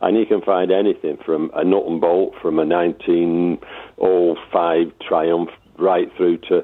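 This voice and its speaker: A man with a Lancashire accent talks at a fairly slow pace, his loudness very even. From Lancashire, northern England. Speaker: motorbike enthusiast. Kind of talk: radio interview. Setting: phone call.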